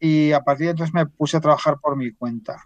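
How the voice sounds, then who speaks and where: A man is speaking against a quiet background. His intonation is fairly even. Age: 60s. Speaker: finance professional, portfolio manager. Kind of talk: podcast interview.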